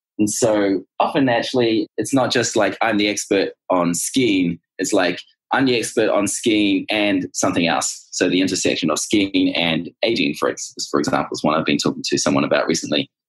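A man with a plain, everyday voice speaks at a moderate pace with lively intonation and a fairly low pitch. His loudness stays very even, and there are hardly any pauses. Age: 30s. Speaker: startup co-founder. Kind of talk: interview.

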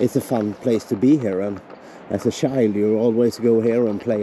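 Recorded dry with no echo and light background noise, a man talks at a moderate pace with fairly even intonation. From Sweden, Engelholm area; Sweden. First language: Swedish. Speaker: travel vlogger. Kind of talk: casual vlog chat. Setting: outdoors. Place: forest. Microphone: phone near.

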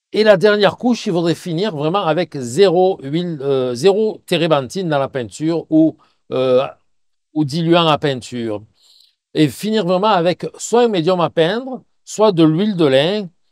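This man's voice sits high in pitch and moves with lively intonation at a fairly slow pace. The sound is dry and close, with no echo. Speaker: painting teacher. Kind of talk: Q&A tutorial. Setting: outdoors by a river. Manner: loud; hesitant, many fillers.

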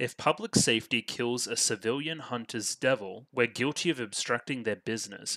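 A man with an Australian accent speaks at a moderate pace in a bright, sharp tone with ordinary pitch variation, the sound dry with no echo against a quiet background. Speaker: anime reaction youtuber. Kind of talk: reaction video commentary. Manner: animated. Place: home room. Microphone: headset.

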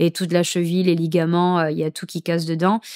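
Against a quiet background, a woman speaks at a fairly low pitch in a flat, monotone way. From Saint-Martin (Caribbean). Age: 20s. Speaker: professional surfer; podcast guest. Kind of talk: casual chat. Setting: at guest's home. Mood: cheerful, smiling. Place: studio. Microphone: studio mic.

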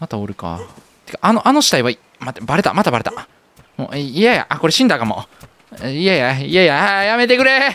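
In a Kansai accent, a man with a fairly high pitch speaks at a fairly quick pace, swinging very widely in pitch and taking long, frequent pauses. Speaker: game streamer. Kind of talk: casual gameplay commentary.

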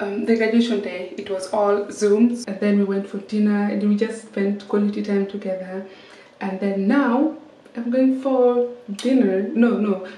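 Audible room echo surrounds the woman's fairly slow speech and its fairly even intonation. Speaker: vlogger. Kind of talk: casual vlog chat. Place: bathroom. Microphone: phone near.

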